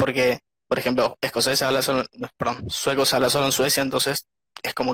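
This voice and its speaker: A man's bright, sharp tone at medium pitch, monotone and flat, at a moderate pace, in a dry, close sound with no echo. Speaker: young emigrant interviewee. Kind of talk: casual interview.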